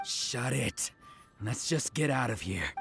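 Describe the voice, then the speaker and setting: A put-on, growling character voice at a low-to-middle pitch moves at a fairly slow pace over clear music in the background. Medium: machinima. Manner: cocky, mocking.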